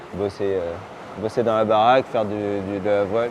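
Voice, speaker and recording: Noticeable background noise surrounds a man speaking at a fairly low pitch. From Brittany, France. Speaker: dentist and sailor. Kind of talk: casual interview. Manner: halting, many fillers.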